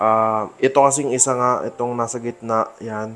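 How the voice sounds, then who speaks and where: With music in the background, a man at a medium pitch talks at a moderate pace in a monotone, flat intonation. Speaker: fish hobbyist vlogger. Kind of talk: casual vlog tutorial. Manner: lowered voice at night.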